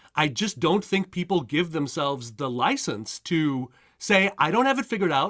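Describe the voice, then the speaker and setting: A man with a Montreal accent, high-pitched, with very wide pitch swings at a moderate pace, in a very clean recording over a silent background. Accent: Canadian English, Montreal. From Montreal, Quebec, Canada. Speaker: career coach. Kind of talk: interview. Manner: halting, many repetitions and fillers.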